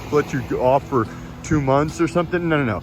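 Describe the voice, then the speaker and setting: A man speaks with an American accent. Noticeable background noise runs under his voice. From United States. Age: 40s. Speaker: expat vlogger. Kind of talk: casual vlog monologue. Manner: conversational, many fillers.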